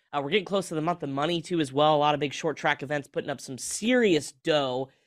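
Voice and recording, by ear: Over a silent background in a very clean recording, a man talks at a fast pace with a fairly high pitch.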